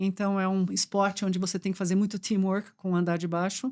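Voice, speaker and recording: Over a silent background in a very clean recording, a woman speaks with fairly even intonation. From Brazil, German and Swiss parents. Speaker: supply chain executive. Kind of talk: podcast conversation.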